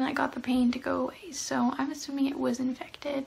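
A woman's high-pitched voice. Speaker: vlogger. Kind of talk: casual vlog chat. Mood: calm, matter-of-fact storytelling. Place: home room. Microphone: phone near.

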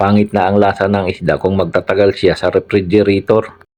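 Talking fairly quickly, a man uses a fairly low pitch. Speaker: vlogger, overseas Filipino worker. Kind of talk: vlog narration. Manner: stumbling over words.

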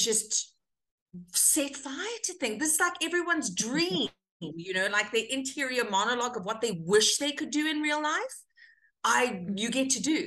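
With a bright, sharp tone, a woman's voice ranges through very wide pitch swings against a quiet background. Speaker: actor guest. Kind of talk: interview answer. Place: home room. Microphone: webcam.

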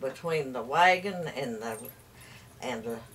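Speaking at a fairly slow pace in an Appalachian accent, the voice has lively intonation over light background noise. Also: woman. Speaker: storyteller. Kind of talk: folk storytelling. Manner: rambling, hesitant. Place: home room. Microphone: camera far.

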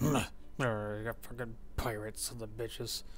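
A man speaks in a put-on character voice, his pitch medium and his pace moderate, with clear background noise behind him. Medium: actual play. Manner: cranky, cursing.

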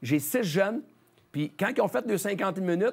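A man speaks with lively intonation at a fairly quick pace. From Quebec, Charlemagne; Quebec. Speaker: hockey coach, former player; hockey coach. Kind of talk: interview. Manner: halting. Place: studio.

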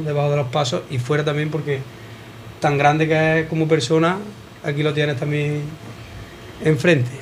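A man talks at a fairly quick pace with light background noise. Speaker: radio show host. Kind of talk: radio talk show host chat. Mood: warm, admiring. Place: bar. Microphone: handheld.

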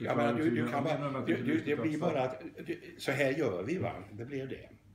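Heard over loud background noise, the speech moves at a moderate pace. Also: man, ordinary pitch variation. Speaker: psychologist and teacher. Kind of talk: interview answer. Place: home room. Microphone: phone near.

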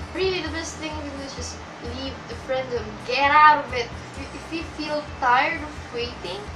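A woman's raised, projected voice at a moderate pace, with music in the background. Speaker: vlogger. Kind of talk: casual vlog chat. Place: home room. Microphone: webcam.

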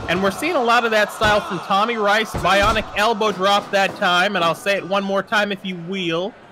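A man's high, raised and projected voice with hardly any pauses, over noticeable background noise. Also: fairly even intonation, moderate pace. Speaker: wrestling commentator. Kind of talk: live wrestling commentary. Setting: in the commentary booth.

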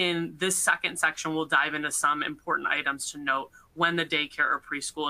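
A woman with a very deep, low pitch and a bright, sharp tone speaks at a very fast pace with fairly even intonation. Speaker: attorney presenter; presenter. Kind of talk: webinar presentation. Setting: online webcast. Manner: formal. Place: home room. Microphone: webcam.

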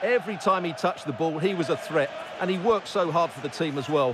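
An enthusiastic tone comes through at a fairly quick pace over noticeable background noise. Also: man. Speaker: football co-commentator, analyst. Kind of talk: sports co-commentary, analysis of replays. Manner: measured, analytical, warmly enthusiastic on replays.

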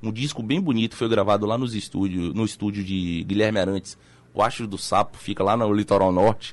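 A man delivers his words fairly quickly in a plain, everyday voice, keeping his intonation fairly even. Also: fairly low pitch for a man. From Salvador, Bahia, Brazil. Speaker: documentary filmmaker and journalist. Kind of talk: radio interview. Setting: radio studio. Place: studio. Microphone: studio mic.

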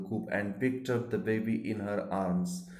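A man with an Indian accent talks in a fairly low pitch over noticeable background noise. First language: Marathi. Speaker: teacher. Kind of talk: lecture.

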